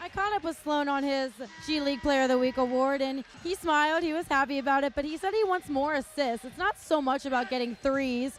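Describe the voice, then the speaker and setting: Over music, a woman with a high voice and an upbeat tone speaks at a fairly quick pace with ordinary pitch variation and hardly any pauses. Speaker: sports reporter and host. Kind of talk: live post-game report back to the studio anchors. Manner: upbeat, conversational.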